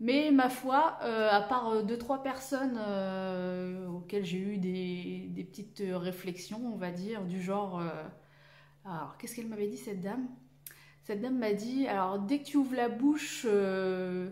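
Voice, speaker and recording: At a fairly slow pace, a woman talks at a medium pitch with ordinary pitch variation and big swings in loudness. Audible room echo surrounds her. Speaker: sewing YouTuber. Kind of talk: casual vlog monologue. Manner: halting, many hesitations.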